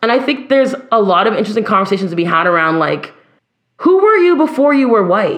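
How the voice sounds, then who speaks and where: With very wide pitch swings and a fairly quick pace, a woman talks in a room with audible echo. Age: 30s. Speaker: singer and educator. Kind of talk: casual chat.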